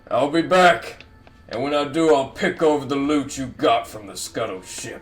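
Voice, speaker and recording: Over faint background music, a man does a raspy, put-on character voice at a fairly high pitch and moderate pace, with big swings in loudness. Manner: dramatic, theatrical.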